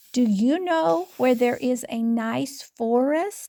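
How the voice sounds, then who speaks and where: A woman uses a put-on character voice, high in pitch and at a very slow pace. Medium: read story.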